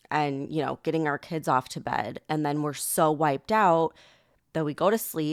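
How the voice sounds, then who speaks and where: Her pitch is very deep and low, with ordinary variation. The woman keeps a moderate pace. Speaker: podcast host. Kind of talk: casual solo podcast. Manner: conversational, filler words.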